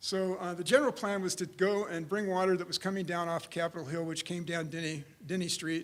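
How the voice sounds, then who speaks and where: A loud, high-pitched male voice at a fairly quick pace, fairly even in intonation, with hardly any pauses. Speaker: civil engineer. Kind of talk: conference presentation. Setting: conference room with audience.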